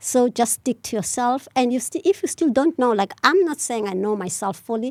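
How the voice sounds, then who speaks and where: Dark and mellow in tone, a woman's high voice swings very widely in pitch at a fairly quick pace, in a dry, close sound with no echo. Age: 60s. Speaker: panel guest on women's talk show. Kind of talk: casual chat.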